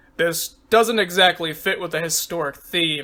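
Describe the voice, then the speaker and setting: Putting on a character voice, a man speaks at a moderate pace and a high pitch. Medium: read story. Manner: flat, dry.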